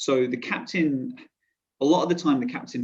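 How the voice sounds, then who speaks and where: This man has a southern English accent. He talks at a fairly quick pace with fairly even intonation. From southern England, Portsmouth. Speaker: korfball player-coach. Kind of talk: podcast interview. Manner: hesitant, many fillers and restarts.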